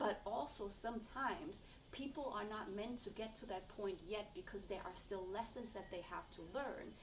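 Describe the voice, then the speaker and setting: With a German accent, a woman speaks at a moderate pace and a fairly high pitch, with ordinary pitch variation. Noticeable background noise and audible room echo fill the recording. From Germany. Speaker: coach and content creator. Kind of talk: personal vlog monologue. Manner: halting, searching for words.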